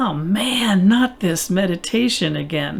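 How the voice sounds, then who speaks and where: In a put-on, whiny character voice, a female-sounding speaker with a medium pitch goes at a fairly slow pace over light background noise. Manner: complaining.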